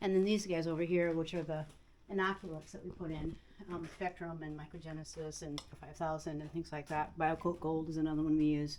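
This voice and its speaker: Speaking at a fairly quick pace with an American accent, a woman has a very deep, low pitch, monotone, flat intonation and big swings in loudness. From US Midwest. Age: 70s. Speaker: farmer. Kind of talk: casual chat.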